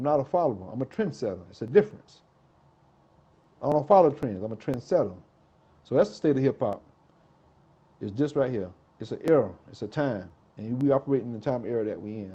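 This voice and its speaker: A man talks at a fairly quick pace and a medium pitch, his tone dark and mellow and his intonation lively. His loudness swings widely, and he takes long, frequent pauses. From South Carolina, Greenville/Columbia. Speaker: hip-hop artist. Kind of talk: interview. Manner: fast.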